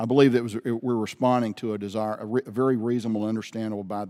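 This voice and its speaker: Speaking very fast in a flat monotone, a man with an Alabama accent has a fairly low, dark and mellow voice, recorded very cleanly against a silent background. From Birmingham, Alabama. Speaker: military general. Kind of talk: congressional hearing testimony.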